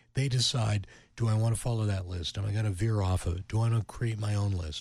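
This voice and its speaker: A man speaks at a fairly quick pace with an American accent, his voice fairly low and somewhat breathy. The recording is very clean, with a silent background. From western Pennsylvania (Youngwood, near Pittsburgh). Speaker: radio programming executive. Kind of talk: interview.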